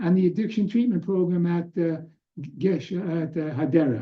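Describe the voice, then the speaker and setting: The speaker is a man. He has an American accent. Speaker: doctor giving a presentation on addiction. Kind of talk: lecture. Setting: webinar with screen sharing.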